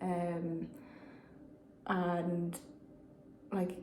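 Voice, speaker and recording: A woman speaks with a Dublin accent at a fairly low pitch. Audible room echo surrounds her voice. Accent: Dublin Irish. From Ireland, Dublin. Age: 20s. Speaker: vlogger. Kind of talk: personal vlog. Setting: private meeting room. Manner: hesitant, many fillers.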